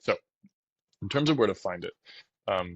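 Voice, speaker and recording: The man's voice is soft-spoken. He talks quietly throughout. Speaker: mortgage loan officer. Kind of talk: tutorial. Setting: at home. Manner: soft-spoken, talking quietly.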